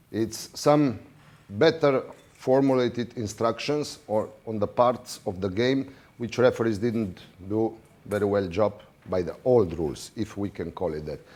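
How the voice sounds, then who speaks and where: Fairly slow speech in a non-native accent with ordinary pitch variation. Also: man, medium pitch for a man. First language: not English. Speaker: water polo referee official. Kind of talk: lecture. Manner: halting.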